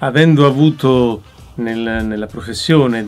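A fairly slow pace with faint music in the background. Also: man. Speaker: voice actor. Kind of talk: interview answer. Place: studio. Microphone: studio mic.

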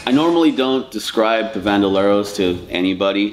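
Music plays in the background. A man talks at a fairly low pitch. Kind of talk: interview answer. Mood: enthusiastic, laughing, casual swearing. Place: garage.

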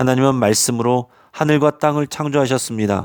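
Recorded with a dry, close sound and no echo, a man speaks at a medium pitch and a moderate pace. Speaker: pastor. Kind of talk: sermon.

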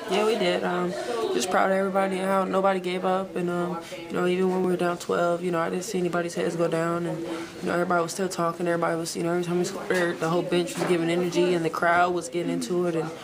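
A woman at a very fast pace with music in the background. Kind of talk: interview answer. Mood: reflective after season-ending loss. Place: hall. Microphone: phone near.

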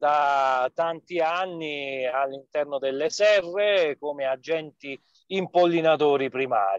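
Speaking at a very slow pace, a man with a fairly high pitch and ordinary pitch variation sounds dry with no echo against a quiet background. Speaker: park official; webinar speaker. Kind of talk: webinar presentation. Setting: in a car, on a video call. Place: car. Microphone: mobile phone connection; phone near.

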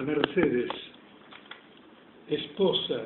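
Over noticeable background noise, a man talks in a fairly high voice. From Tucumán, Argentina. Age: 90s. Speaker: poet. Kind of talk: poetry reading. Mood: tender, solemn. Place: home room. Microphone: phone near.

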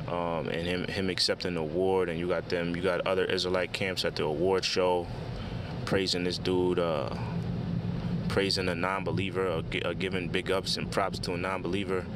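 A man speaks at a moderate pace with long, frequent pauses, his dry, echo-free voice set against loud background noise. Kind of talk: casual religious commentary. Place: car. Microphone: phone near.

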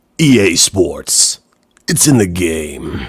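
A man uses a put-on character voice with a very deep, low pitch. His pitch swings very widely. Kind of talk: announcer.

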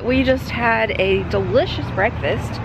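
A woman is heard on a dry recording with no echo and noticeable background noise. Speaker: travel vlogger. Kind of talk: casual vlog chat. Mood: cheerful, chatty food review. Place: street. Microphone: phone near.

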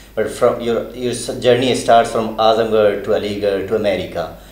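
A man speaks with ordinary pitch variation. His moderate pace comes through audible room echo. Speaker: journalist interviewer. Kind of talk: interview. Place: meeting room. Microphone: handheld.

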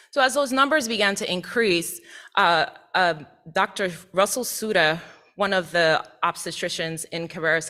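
A bright, sharp tone with an American accent at a moderate pace. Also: woman. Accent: slight Caribbean accent with some Southern. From US Virgin Islands, Saint Thomas. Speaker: associate professor. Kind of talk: presentation to board. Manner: formal.

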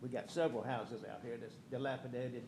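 Audible room echo surrounds a somewhat breathy man who speaks very fast with ordinary pitch variation. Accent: Louisiana. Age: 70s. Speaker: homeowners association board member. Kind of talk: public comment at council meeting. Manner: halting.

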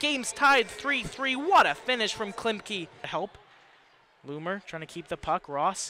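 Delivered at a fairly slow pace, the dry audio has no echo and carries light background noise. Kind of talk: live sports commentary. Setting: broadcast of a hockey game. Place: stadium. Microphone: headset.

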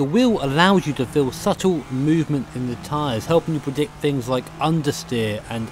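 Music plays behind a voice that keeps a moderate tempo. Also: man. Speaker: sim racing video creator. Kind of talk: product review talk. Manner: casual, self-deprecating.

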